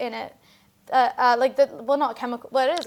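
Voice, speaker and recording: A woman speaks with ordinary pitch variation. The recording is very clean, with a silent background. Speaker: singer-songwriter. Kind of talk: casual interview. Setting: studio. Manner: loud; halting, many fillers.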